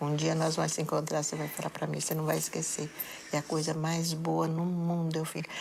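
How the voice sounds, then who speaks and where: A woman's very deep, low voice in monotone, flat intonation at a moderate pace, with audible room echo. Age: 70s. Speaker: bereaved mother. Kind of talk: interview testimony.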